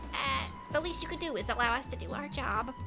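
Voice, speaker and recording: Over loud music in the background, a put-on character voice rattles along at a very fast pace. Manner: nerdy, prim.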